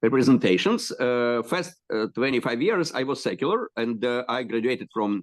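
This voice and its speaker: A man with a Russian accent at a fairly slow pace, medium pitch and ordinary pitch variation, against a quiet background. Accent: Russian-speaking Eastern European. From Ukraine, Kyiv. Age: 60s. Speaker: rabbi and educator. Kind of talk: interview introduction. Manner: halting, many fillers.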